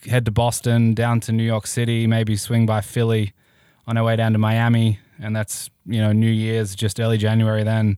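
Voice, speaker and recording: A man with an Australian accent speaks at a moderate pace in a medium-pitched voice, his tone dark and mellow, his loudness very even and his intonation flat and monotone, on a very clean recording with a silent background. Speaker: sports betting lawyer and podcast host. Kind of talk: interview.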